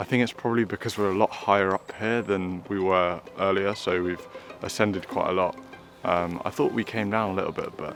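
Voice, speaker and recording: A man with a fairly low voice speaks in a fairly even tone over music playing in the background. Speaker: photography vlogger. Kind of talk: casual vlog narration. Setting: outdoors. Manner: quiet, subdued.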